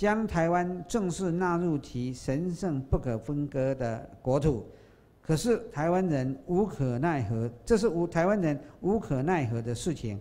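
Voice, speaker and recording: The pace runs fairly slow. A dark, mellow tone colors the voice. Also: man. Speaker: speaker. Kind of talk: lecture. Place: hall. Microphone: podium.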